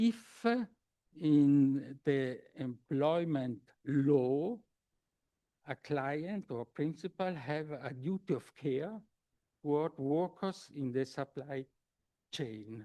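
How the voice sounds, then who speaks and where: A very slow, fairly high-pitched man with a German accent, a dark, mellow tone, ordinary pitch variation and long, frequent pauses, recorded dry and close with no echo. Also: quiet background. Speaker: law professor. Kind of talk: academic conference talk. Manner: halting, many hesitations.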